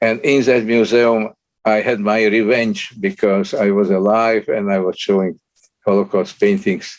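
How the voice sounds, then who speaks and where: Talking at a moderate pace, a man speaks at a medium pitch with a Slovak accent. His intonation is fairly even and his loudness very even. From Slovakia. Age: 90s. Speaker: Holocaust survivor and artist. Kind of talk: lecture. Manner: halting.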